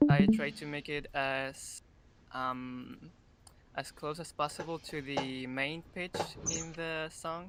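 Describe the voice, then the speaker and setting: Someone with a non-native accent speaks at a very slow pace amid noticeable background noise. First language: not English. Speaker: UTAU tuner presenting in workshop. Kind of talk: online tutorial presentation. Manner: halting, many fillers.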